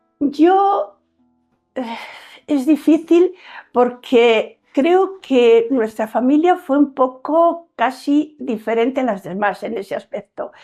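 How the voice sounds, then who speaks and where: Over a quiet background, a woman speaks at a very slow pace with a high pitch, a dark, mellow tone and lively intonation. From Spain, León province. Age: 70s. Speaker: older woman sharing her life story. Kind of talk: life story interview testimony. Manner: halting.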